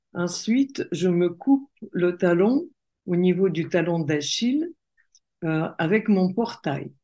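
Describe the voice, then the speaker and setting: A dark, mellow tone in a Russian accent, very slow pace, long, frequent pauses and lively intonation, over a quiet background. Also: woman, medium pitch for a woman. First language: Russian (speaking French). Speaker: coach and entrepreneur. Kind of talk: interview conversation.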